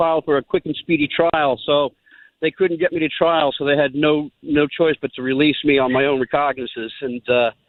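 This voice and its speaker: A man speaks at a fairly quick pace. His is a plain, everyday voice. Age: 60s. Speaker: caller telling his life story. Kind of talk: storytelling on radio call-in.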